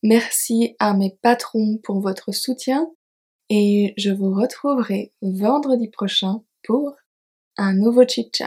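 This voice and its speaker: A woman speaks very slowly in a fairly high, somewhat breathy voice with ordinary pitch variation. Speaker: French teacher podcaster. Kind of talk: slow scripted narration for learners. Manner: clear articulation.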